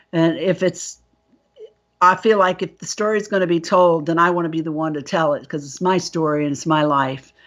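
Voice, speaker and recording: Using an ordinary speaking voice, a woman talks fairly quickly at a fairly low pitch with fairly even intonation. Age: 60s. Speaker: abductee and author. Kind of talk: interview testimony.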